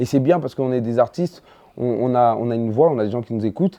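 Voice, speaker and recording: At a very fast pace, this man talks with a dry, close sound and no echo. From Ivory Coast, then Paris 19th from age 12. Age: 30s. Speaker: stand-up comedian. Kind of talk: casual interview chat. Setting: sit-down interview over snacks. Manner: hesitant, many fillers and restarts.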